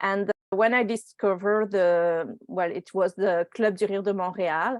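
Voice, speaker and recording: Speaking at a fairly slow pace with a French accent, a woman with a medium pitch sounds dry and close, with no echo. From France. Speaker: laughter yoga leader. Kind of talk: casual interview chat. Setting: video call. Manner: energetic.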